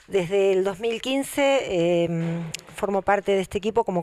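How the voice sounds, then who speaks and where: Her pitch varies in an ordinary way. The speaker is a woman. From Argentina, Buenos Aires Province. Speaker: local politician and teacher; candidate. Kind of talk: campaign statement. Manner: frequent filler hesitations. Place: hall. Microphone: handheld.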